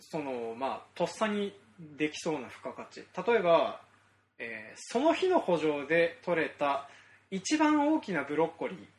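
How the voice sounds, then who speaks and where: A high-pitched man at a fairly slow pace, with lively intonation and big swings in loudness. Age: 30s. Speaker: farmer and podcast host. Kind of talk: casual chat.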